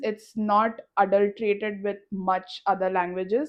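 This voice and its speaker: A woman speaks at a fairly slow pace in an Indian accent. Her pitch sits in the medium range. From India, Mumbai. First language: Malayalam. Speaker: podcast co-host. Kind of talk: casual chat.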